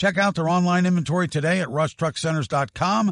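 A man talks at a moderate pace with ordinary pitch variation, in a plain, everyday voice. The sound is dry and close with no echo, over a quiet background. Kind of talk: casual banter on a sports podcast.

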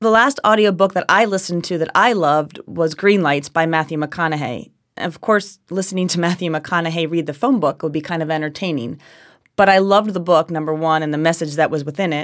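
A woman with a New Jersey accent talks at a fairly quick pace with few pauses, her pitch low with ordinary variation. The recording is very clean, with a silent background. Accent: New Jersey American.

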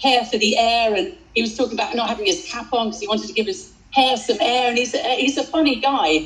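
Against noticeable background noise, a woman with a British accent talks at a very fast pace in a fairly high pitch. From Britain. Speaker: tennis commentator and journalist.

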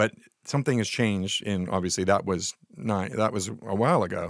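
A man's fairly low, unremarkable speaking voice with fairly even intonation, dry and close with no echo, in a very clean recording with a silent background. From Nova Scotia, Canada. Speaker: beer and wine writer. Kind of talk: casual chat. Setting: studio.

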